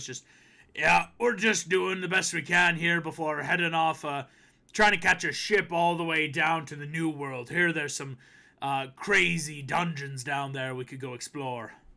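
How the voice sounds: Putting on a gruff character voice, a man speaks at a moderate pace with fairly high pitch.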